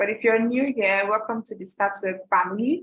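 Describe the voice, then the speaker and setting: At a moderate pace, a woman speaks in a plain, everyday voice with a fairly high pitch and ordinary pitch variation. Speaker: product trainer for a website builder company. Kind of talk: live online training webinar. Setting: livestream with screen sharing.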